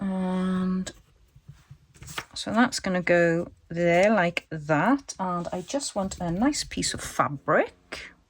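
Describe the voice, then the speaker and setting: The speech moves at a very slow pace. It comes with a Welsh accent. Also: woman, medium pitch for a woman, ordinary pitch variation. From Wales. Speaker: crafting YouTuber. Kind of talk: tutorial. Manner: casual, chatty.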